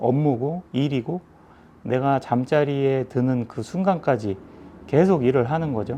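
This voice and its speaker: Lively in intonation yet very slow in pace, a man talks in a fairly high pitch with a dark, mellow tone. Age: 40s. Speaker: music shop owner. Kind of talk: casual talk to camera. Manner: hesitant, many fillers.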